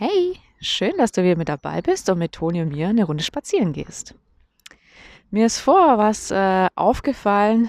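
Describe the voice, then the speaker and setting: On a very clean recording with a silent background, the words arrive fairly slowly. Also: woman, dry, close sound with no echo. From Germany. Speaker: podcaster. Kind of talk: casual monologue. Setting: outdoors on a walk. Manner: casual, with fillers.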